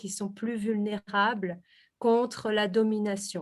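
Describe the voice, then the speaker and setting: This woman speaks at a very slow pace and a medium pitch, recorded very cleanly against a silent background. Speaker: researcher presenting her thesis. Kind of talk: academic presentation. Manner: hesitant, many fillers.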